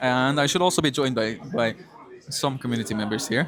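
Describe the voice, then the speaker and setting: A man speaks over noticeable background noise. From Belgium (Flanders). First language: Dutch (Flemish). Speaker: esports caster. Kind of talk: live commentary. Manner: hesitant, many fillers and restarts.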